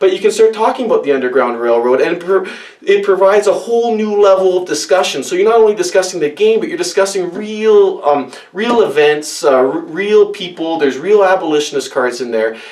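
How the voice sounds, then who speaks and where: Very wide pitch swings at a fairly quick pace, hardly any pauses, and noticeable background noise. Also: man, high pitch for a man. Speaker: board game reviewer. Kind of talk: tutorial. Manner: fast; animated.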